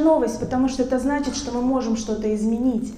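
A woman speaks in a high pitch with ordinary pitch variation. Audible room echo and noticeable background noise fill the recording. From the West. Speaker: psychologist. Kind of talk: talk to audience.

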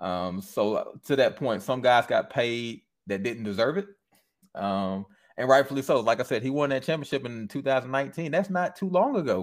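On a very clean recording with a silent background, a man with an American accent speaks at a moderate pace. He has a plain, everyday voice, a medium pitch and lively intonation. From Michigan. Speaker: podcast host guest. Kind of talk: casual chat.

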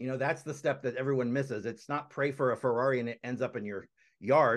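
At a fairly quick pace, a man speaks in an unremarkable speaking voice of medium pitch. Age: 40s. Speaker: motivational speaker. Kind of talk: interview.

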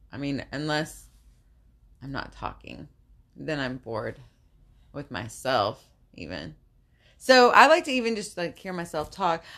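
A woman's very deep, low voice with vocal fry, at a fairly slow pace, with very wide pitch swings, big swings in loudness, and long, frequent pauses. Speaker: podcast co-host and salon employee. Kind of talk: casual chat. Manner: shaky voice when emotional.

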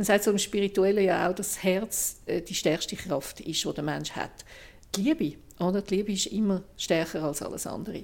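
An unremarkable speaking voice at a moderate pace with ordinary pitch variation. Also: woman, medium pitch for a woman. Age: 60s. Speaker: journalist and podcast host. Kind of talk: casual chat.

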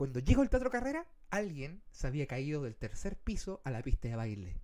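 A fairly quick man's voice, dark and mellow in tone, with very wide pitch swings. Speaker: podcast host and streamer. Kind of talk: casual chat. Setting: live stream.

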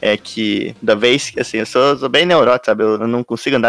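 This man talks at a very fast pace with ordinary pitch variation, recorded with a dry, close sound and no echo. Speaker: podcast co-host. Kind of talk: casual chat.

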